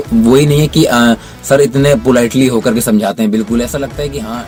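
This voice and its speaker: Music plays in the background as a man speaks at a moderate pace. His pitch is medium, with ordinary variation. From North India. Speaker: cricketer; voice over trainee. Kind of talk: interview answer.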